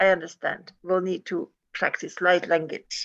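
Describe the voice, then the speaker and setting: A woman with a non-native accent, at a medium pitch and a moderate pace. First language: not English. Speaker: course participant. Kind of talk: group class discussion. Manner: halting.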